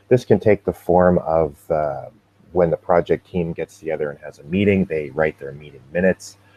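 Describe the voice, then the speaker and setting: Very deep and low in pitch, a man's voice moves at a moderate pace with ordinary pitch variation. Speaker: open source foundation staff presenter. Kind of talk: tutorial. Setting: live video webinar with screen share. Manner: hesitant, many fillers.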